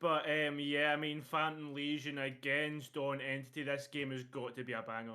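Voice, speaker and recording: In a Scottish accent, a man talks at a moderate pace and fairly high pitch, monotone and flat, with hardly any pauses. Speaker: esports caster. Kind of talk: live commentary.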